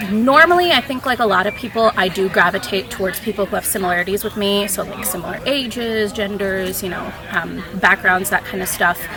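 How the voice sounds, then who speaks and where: Over music in the background, a woman with an American accent talks fairly quickly and hardly pauses, her medium pitch showing ordinary variation. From Minnesota, Saint Paul. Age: 20s. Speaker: reality game contestant. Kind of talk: confessional interview. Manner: casual, hesitant with fillers.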